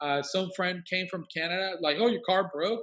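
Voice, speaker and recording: This man talks fairly quickly with a Colombian accent. His pitch is high for a man, and his intonation is lively. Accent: Colombian Spanish accent, moderate. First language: Spanish. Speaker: worship leader and 3D animator. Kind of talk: casual interview. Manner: animated.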